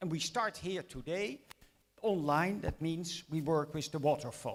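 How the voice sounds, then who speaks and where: A fairly high-pitched man with a Dutch accent, ordinary pitch variation, and a fairly slow pace. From Netherlands. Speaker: mathematics education lecturer. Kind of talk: lecture.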